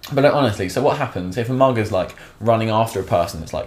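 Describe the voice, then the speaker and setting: Talking at a very fast pace in a southern English accent, a man with medium pitch sounds animated, with lively intonation. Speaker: vlogger. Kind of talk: comedic vlog rant. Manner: sarcastic.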